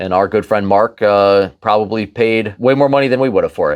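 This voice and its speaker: An ordinary speaking voice with an American accent moves at a fairly quick pace with ordinary pitch variation over a quiet background. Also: man. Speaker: antiques collector. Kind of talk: storytelling. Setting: gun store.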